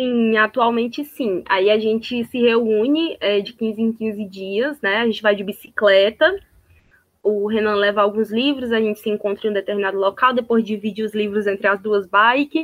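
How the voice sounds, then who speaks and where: A woman's normal speaking voice, fairly high in pitch, at a moderate pace with fairly even intonation. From Ceará, Brazil (Sobral). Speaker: poet and cultural producer. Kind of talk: casual chat. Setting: video call.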